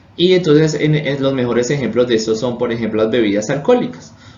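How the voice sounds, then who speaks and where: Audible room echo surrounds a man speaking. His medium pitch shows ordinary variation. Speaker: chemistry teacher. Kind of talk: lecture. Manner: halting.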